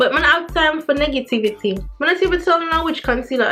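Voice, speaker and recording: Music plays in the background as a woman speaks in a Jamaican accent. Her intonation is lively. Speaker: beauty vlogger. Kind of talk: casual talk to camera.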